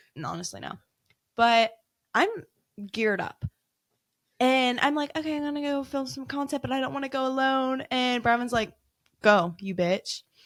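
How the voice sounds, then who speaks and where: A woman speaks loudly in a high pitch at a moderate pace. She leaves long, frequent pauses. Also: ordinary pitch variation. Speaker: paranormal investigator. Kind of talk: casual chat. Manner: animated.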